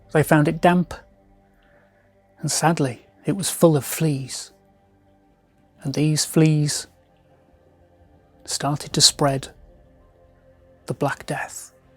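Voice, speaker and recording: Over music in the background, the speaker talks at a very slow pace with long, frequent pauses and a monotone, flat intonation. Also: man, fairly high pitch for a man. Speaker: magician and storyteller. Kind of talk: storytelling narration to camera.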